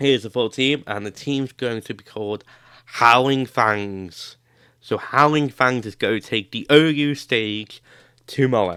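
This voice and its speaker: A man at a fairly slow pace, medium in pitch, with a bright, sharp tone and ordinary pitch variation. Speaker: gaming YouTuber. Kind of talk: tutorial. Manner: halting.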